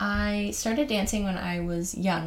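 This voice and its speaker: A woman speaks with a Canadian accent. Her pace is very slow. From Ontario, Canada. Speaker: podcast host. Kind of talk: casual monologue. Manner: casual, with fillers and laughs.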